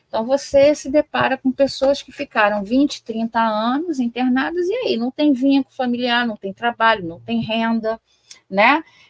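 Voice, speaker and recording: The voice shows big swings in loudness and ordinary pitch variation, recorded with a dry, close sound and no echo. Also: woman, high pitch for a woman, moderate pace. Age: 50s. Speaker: psychology professor. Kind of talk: interview discussion. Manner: hesitant, many fillers.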